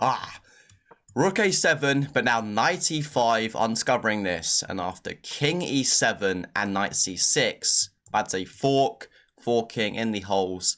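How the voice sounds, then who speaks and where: Recorded very cleanly against a silent background, a man at medium pitch speaks with lively intonation. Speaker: chess commentator. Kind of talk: game analysis tutorial. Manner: fast; casual, filler-heavy.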